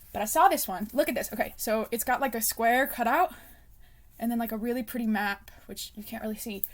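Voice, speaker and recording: With a fairly high pitch and ordinary pitch variation, a woman talks at a fairly quick pace, her loudness swinging widely. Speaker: book vlogger. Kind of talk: casual chat. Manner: rambling, unscripted; customer service voice.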